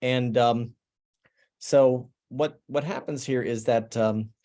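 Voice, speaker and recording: In an American accent, a man with a dark, mellow tone and medium pitch speaks at a fairly slow pace against a quiet background. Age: 60s. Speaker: digital artist. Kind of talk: artist talk presenting work. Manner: halting, many fillers and restarts.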